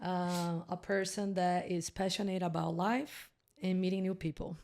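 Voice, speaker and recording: A woman with a Brazilian accent talks at a moderate pace and a medium pitch, her loudness very even. The recording is very clean, with a silent background. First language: Portuguese. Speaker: podcast guest. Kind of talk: casual interview chat. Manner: animated.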